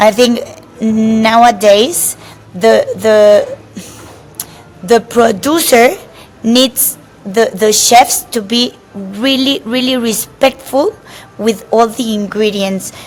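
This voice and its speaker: A woman with a Spanish accent speaks at a very slow pace, taking long, frequent pauses. Her fairly high pitch has ordinary variation, and noticeable background noise is present. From Mexico. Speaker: chef. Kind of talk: interview. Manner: halting, many repetitions and fillers.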